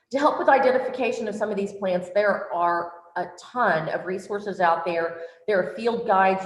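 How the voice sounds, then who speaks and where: A woman at medium pitch and moderate pace, with audible room echo and noticeable background noise. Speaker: workshop presenter. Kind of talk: online workshop lecture. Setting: virtual workshop.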